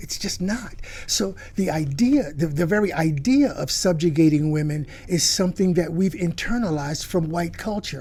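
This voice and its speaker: His pitch is high and his tone dark and mellow. The man speaks at a moderate pace with lively intonation. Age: 70s. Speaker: historian. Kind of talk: interview. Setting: studio. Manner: halting, many fillers and restarts.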